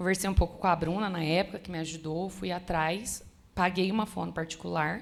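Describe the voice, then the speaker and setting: A woman's fairly low voice with vocal fry, monotone and flat in intonation, at a fairly quick pace. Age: 20s. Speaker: church member sharing testimony. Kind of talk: testimony. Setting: church women's conference.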